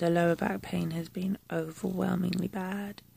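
Somewhat breathy and weary in tone, a woman speaks in a dark, mellow voice with monotone, flat intonation, the sound dry with no echo. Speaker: vlogger. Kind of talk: casual vlog chat. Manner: slow, weary, low-energy voice of pain. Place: home room.

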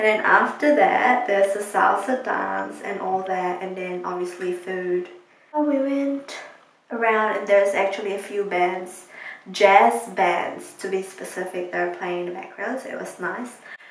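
A woman speaks fairly slowly with big swings in loudness and audible room echo. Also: ordinary pitch variation. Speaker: vlogger. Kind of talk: casual vlog chat. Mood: relaxed, recounting the evening. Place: bathroom. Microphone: phone near.

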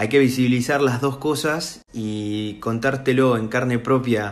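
With a Rioplatense accent, a man talks at a medium pitch with ordinary pitch variation. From Argentina. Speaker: voice impressionist. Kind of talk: monologue to camera. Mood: earnest, emotional, somewhat indignant. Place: home room. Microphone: phone near.

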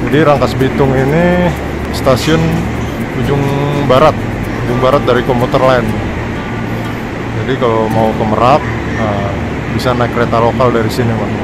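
A man at a moderate pace, ordinary pitch variation, long and frequent pauses, a dry sound with no echo, and loud background noise behind him. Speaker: travel vlogger. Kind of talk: casual vlog chat. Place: station. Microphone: phone near.

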